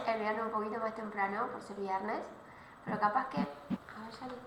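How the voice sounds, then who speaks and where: A woman speaks at a moderate pace with a fairly high pitch, ordinary pitch variation and long, frequent pauses. Noticeable background noise and audible room echo fill the recording. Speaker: law professor. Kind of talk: online class.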